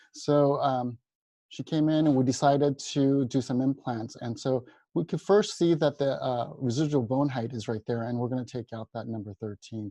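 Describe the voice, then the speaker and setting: In a dry, close sound with no echo, a man talks at a moderate pace with a dark, mellow tone, medium pitch and ordinary pitch variation. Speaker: dentist lecturer. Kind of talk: webinar lecture. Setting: online webinar. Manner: halting with fillers.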